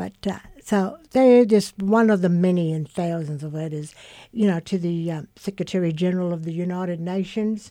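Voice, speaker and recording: A woman's fairly low, dark, mellow voice at a moderate pace with ordinary pitch variation, on a very clean recording with a silent background. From Queensland, Australia (Cherbourg settlement). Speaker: community elder and author. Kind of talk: radio interview. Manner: halting, repeats words.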